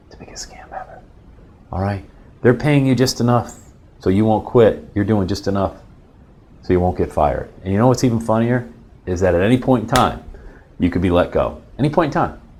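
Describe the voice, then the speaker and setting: An animated man with an American accent talks at a fairly quick pace, his intonation lively and his voice showing vocal fry. His loudness swings widely, and his pauses are long and frequent. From Pennsylvania, US. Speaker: motivational speaker. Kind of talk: motivational talk. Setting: office.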